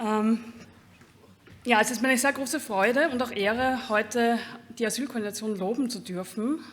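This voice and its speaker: A woman with a fairly high voice talks at a moderate pace, her intonation fairly even and her speech broken by long, frequent pauses. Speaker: laudation speaker. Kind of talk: prepared speech. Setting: award ceremony with audience. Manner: halting.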